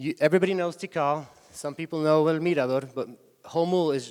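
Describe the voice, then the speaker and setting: A man talks at a moderate pace with a Spanish accent. His intonation is fairly even. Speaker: tour company executive. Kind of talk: conference talk. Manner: halting.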